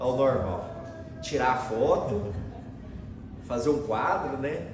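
A man is speaking with noticeable background noise. Room echo is audible too. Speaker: preacher. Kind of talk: sermon. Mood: light, smiling, occasional laughs. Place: church.

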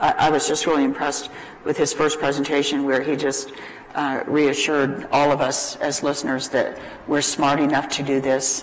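Light background noise accompanies a woman whose voice is very deep and low. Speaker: panel moderator. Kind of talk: panel discussion remarks. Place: studio.

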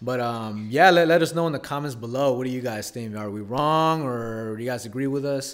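A man's fairly quick speech with ordinary pitch variation and hardly any pauses, over a quiet background. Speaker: podcast host. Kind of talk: casual chat. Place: home room. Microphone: studio mic.

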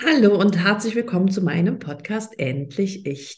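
A somewhat breathy woman at medium pitch, speaking at a fairly slow pace with lively intonation. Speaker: podcast host and coach. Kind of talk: interview.

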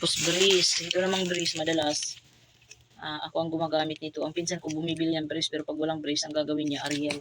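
Over noticeable background noise, a woman with a Bisaya accent speaks very fast in a very deep, low pitch and monotone, flat intonation. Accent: Bisaya accent in Tagalog, stumbles on words. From Visayas, Philippines. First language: Bisaya (speaking Tagalog). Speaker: vlogger and sari-sari store owner. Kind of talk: casual vlog haul. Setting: at home store at night. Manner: halting, self-correcting.

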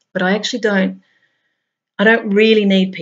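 With an Australian accent, a woman talks at a fairly slow pace in a somewhat breathy, monotone voice with flat intonation against a quiet background. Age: 50s. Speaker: spiritual blogger. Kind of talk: reading aloud; monologue. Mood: calm, reflective. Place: home room.

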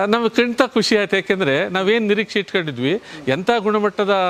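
A man with a high pitch talks against noticeable background noise. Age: 60s. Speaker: retired veterinarian and compost producer. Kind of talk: promotional interview. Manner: formal.

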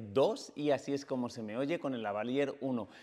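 Over a quiet background, a man talks at a fairly high pitch. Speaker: photography and video educator; video educator. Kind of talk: tutorial.

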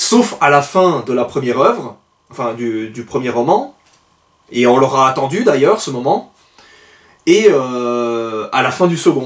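Over a quiet background, a man at a medium pitch speaks at a very slow pace, with lively intonation and long, frequent pauses. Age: 30s. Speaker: aspiring novelist and book reviewer vlogger; book reviewer vlogger. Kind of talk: book review monologue. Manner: hesitant with frequent fillers. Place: home room.

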